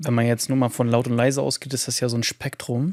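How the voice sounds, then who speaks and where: Quiet speech in a calm tone moves at a fairly quick pace with fairly even intonation, in a dry, close sound with no echo. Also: man. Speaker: podcast host. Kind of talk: casual interview conversation. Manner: calm, quiet.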